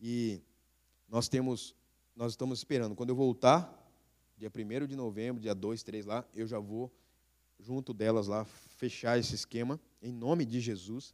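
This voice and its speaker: Fairly slow with long, frequent pauses, a man speaks at a medium pitch and keeps his intonation fairly even. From Brazil, interior of São Paulo state (Bauru). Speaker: missionary pastor. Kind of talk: sermon. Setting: church. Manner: halting, many fillers.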